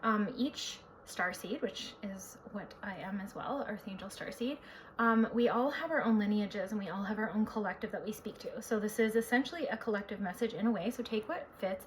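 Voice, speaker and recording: A woman's fairly high voice at a fairly quick pace, with ordinary pitch variation and noticeable background noise. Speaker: psychic and spiritual healer. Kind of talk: spiritual talk to camera. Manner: fast.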